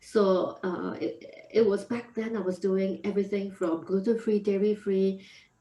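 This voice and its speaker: Speaking with a Singaporean accent, a woman talks at a moderate pace in a medium pitch, her intonation monotone and flat. Noticeable background noise runs underneath. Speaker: food entrepreneur. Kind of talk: podcast interview.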